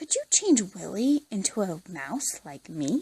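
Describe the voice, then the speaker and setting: Putting on a character voice, a woman speaks at a fairly slow pace with a medium pitch. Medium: read story.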